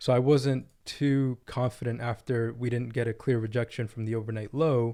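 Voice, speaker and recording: This man talks at a moderate pace in a medium pitch, his dark, mellow tone held to a flat monotone on a very clean recording with a silent background. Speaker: day trader reviewing trades. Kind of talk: screen-share trading tutorial. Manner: casual with frequent fillers.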